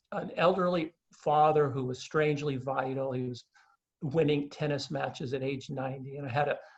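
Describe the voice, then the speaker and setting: Somewhat breathy, this voice moves at a moderate pace with fairly even intonation. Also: man. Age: 60s. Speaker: author. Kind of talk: interview conversation. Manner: halting.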